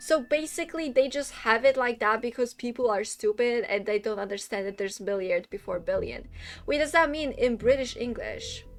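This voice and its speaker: With a non-native accent, a woman speaks at a high pitch and a moderate pace, using ordinary pitch variation. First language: not English. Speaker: VTuber streamer. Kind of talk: live gaming stream chat. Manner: casual, chatty.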